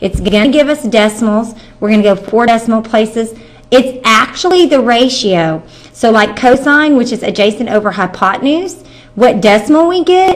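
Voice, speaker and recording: An unremarkable speaking voice from a woman, fairly high-pitched with lively intonation. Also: moderate pace. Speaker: math teacher. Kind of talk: tutorial.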